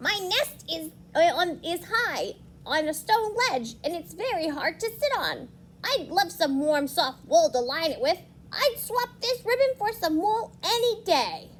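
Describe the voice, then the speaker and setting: A put-on character voice, extremely high in pitch, moves at a fairly slow pace over clear background noise. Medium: read story.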